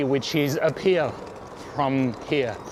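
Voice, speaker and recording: A man speaks very slowly with a French accent. Noticeable background noise runs behind him. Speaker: cycling vlogger. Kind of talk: casual ride commentary. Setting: outdoors on a bike. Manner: halting.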